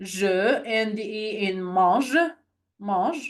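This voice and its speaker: A woman's medium-pitched voice with lively intonation and a non-native accent. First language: not English. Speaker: French language tutor. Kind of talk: online lesson. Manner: halting, self-correcting.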